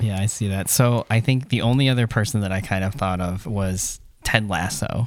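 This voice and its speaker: A man with an unremarkable speaking voice talks at a moderate pace, fairly low in pitch and with ordinary pitch variation. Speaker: podcast host. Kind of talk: casual chat.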